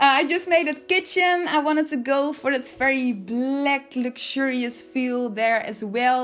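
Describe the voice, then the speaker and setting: Over music in the background, a speaker with a Dutch accent talks at a fairly slow pace with lively intonation. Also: woman. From Netherlands. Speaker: video game builder YouTuber. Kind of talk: voiceover commentary.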